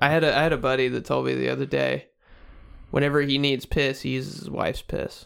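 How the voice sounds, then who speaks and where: A man talking at a very fast pace in a very clean recording with a silent background. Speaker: podcast host. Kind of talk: casual banter, crude comedy podcast. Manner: crude, joking, interrupts.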